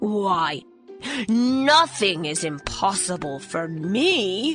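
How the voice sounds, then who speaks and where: A woman's put-on character voice, growling at a medium pitch and a very slow pace, with clear music in the background. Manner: growling, boastful.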